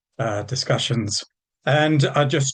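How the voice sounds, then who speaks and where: The man's pace is fairly slow. His voice is somewhat breathy at a medium pitch. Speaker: professor and campaigner. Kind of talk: panel talk. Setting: webinar. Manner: halting, many fillers.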